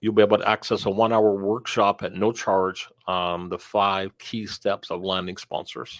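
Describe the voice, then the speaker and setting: In a very clean recording with a silent background, a man speaks at a fairly low pitch and a moderate pace, monotone and flat, with hardly any pauses. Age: 60s. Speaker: sponsorship coach and speaker. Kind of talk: interview. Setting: live stream.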